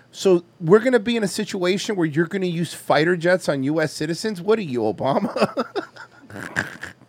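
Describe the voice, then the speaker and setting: A man with a high-pitched voice speaks in an American accent, animated and at a moderate pace. He leaves hardly any pauses, and there is noticeable background noise. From Florida. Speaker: podcast host. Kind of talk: casual comedic banter. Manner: profane, animated.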